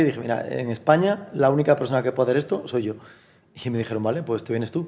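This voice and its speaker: Talking at a very fast pace, a man with a medium pitch and a dark, mellow tone shows ordinary pitch variation. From Galicia, Spain (Fisterra). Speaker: language teaching entrepreneur. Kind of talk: interview conversation.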